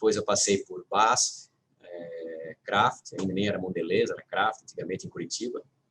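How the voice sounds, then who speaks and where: The sound is dry and close with no echo. Speech comes at a moderate pace with big swings in loudness, in a slight Santa Catarina accent. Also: man. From Brazil, Itajaí, Santa Catarina. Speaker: company executive. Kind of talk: panel discussion.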